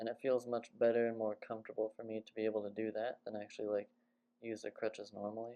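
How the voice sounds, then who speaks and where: A soft-spoken man talks very fast at a medium pitch. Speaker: vlogger recovering from broken leg. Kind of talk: casual video diary. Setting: at home cooking.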